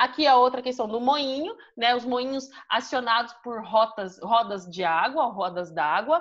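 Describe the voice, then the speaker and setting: A woman speaks at a fairly slow pace in a high voice with a Brazilian accent and lively intonation. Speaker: history teacher. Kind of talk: online class lecture.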